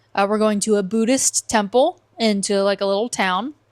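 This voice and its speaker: A woman with an American accent speaks very slowly in a fairly high pitch with fairly even intonation, in a very clean recording with a silent background and a dry, close sound with no echo. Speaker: travel vlogger. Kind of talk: casual podcast chat. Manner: casual, filler-heavy.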